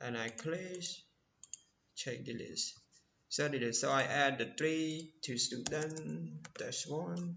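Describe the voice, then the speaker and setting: Speaking with a non-native accent, a man talks at a very slow pace with long, frequent pauses. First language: not English. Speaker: programming tutorial creator. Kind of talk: tutorial. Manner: halting.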